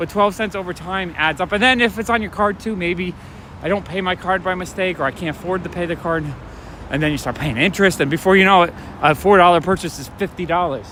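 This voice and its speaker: A man speaks at a very fast pace and high pitch with ordinary pitch variation. Noticeable background noise runs underneath. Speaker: comic shop owner and livestreamer. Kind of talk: casual livestream talk while walking. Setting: outdoors. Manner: soft-spoken.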